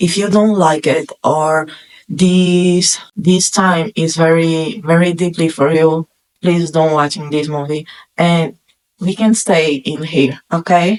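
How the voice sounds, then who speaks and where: A woman with a non-native accent and a fairly low pitch speaks at a very slow pace. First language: not English. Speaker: film reviewer YouTuber. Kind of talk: casual movie review monologue.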